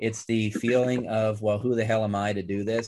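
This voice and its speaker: With fairly even intonation, a man talks at a moderate pace. He uses an unremarkable speaking voice at a medium pitch. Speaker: trauma surgeon, former podcast host. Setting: video call.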